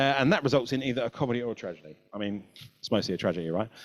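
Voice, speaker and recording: The speaker has a British accent, with very wide pitch swings. The sound is dry and close, with no echo. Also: man. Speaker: marketing agency creative director. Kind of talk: webinar presentation. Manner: fast.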